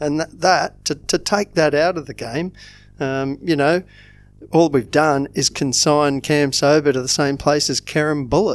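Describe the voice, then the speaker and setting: The speaker talks at a fairly slow pace with an Australian accent. The intonation stays fairly even. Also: man, fairly high pitch for a man. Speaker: football fan podcast co-host. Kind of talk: casual chat.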